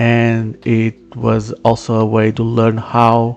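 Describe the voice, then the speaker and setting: A man with a Portuguese accent speaks at a medium pitch. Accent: non-native English, Portuguese. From Portugal. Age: 30s. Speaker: solo game developer, livestreamer. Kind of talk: live stream casual chat. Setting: live stream. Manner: halting, many fillers.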